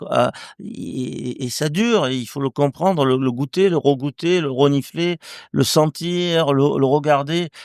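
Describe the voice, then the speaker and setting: Speaking very slowly, a man with a fairly high pitch uses lively intonation in a dry, close sound with no echo. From southern France, near Marseille. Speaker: winemaker. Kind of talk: casual interview. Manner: halting, many repetitions.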